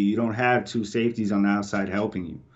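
At a fairly quick pace, a man talks with audible room echo. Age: 30s. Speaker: competitive video game player. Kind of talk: casual chat. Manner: animated.

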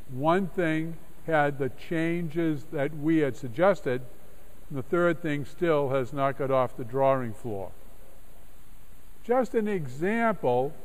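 The man's delivery comes at a very slow pace. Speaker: clergyman giving a lecture. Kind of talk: lecture. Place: church.

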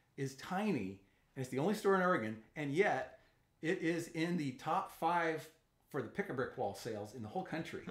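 This voice moves at a moderate pace, with very wide pitch swings and vocal fry. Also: man. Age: 60s. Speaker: YouTube channel host, Lego hobbyist. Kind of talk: casual interview. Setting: studio.

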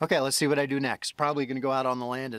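A man speaks with monotone, flat intonation against a quiet background, the sound dry with no echo. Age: 50s. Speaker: solo homesteader vlogger. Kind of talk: casual vlog narration. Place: open country. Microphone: phone near.

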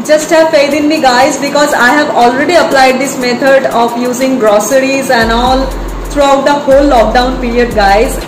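Music plays in the background behind a woman with a high pitch. She speaks at a moderate pace with fairly even intonation. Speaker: fitness vlogger. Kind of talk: casual vlog chat. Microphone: phone near.

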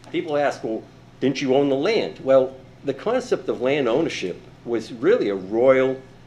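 With audible room echo, a man speaks at a fairly slow pace and medium pitch with lively intonation. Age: 70s. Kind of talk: public comment. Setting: city council meeting. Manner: halting.

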